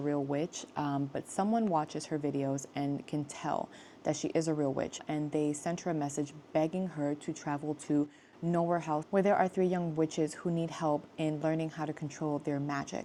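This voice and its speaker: A woman speaks in a very deep, low pitch with a dark, mellow tone and fairly even intonation, on a very clean recording with a silent background. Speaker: booktuber. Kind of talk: casual chat. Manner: fast.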